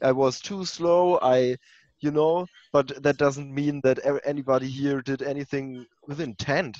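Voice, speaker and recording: An ordinary speaking voice: a man at a fairly high pitch, fairly slow, with fairly even intonation. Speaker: larp player. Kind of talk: role-play game. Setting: video call.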